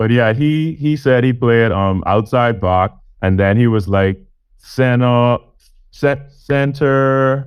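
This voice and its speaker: A man with an unremarkable speaking voice, medium in pitch, at a very even loudness. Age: 20s. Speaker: podcast interviewer. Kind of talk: casual interview.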